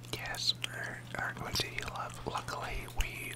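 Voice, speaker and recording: Someone whispers at a very slow pace in a relaxed tone over noticeable background noise. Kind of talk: casual talk to camera, gameplay commentary. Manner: soft-spoken, relaxed.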